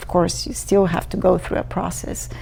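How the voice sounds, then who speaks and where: Music plays behind a woman's voice. The room echo is audible. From Bulgaria. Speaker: immigrant. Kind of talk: personal testimony. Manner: hesitant, many fillers.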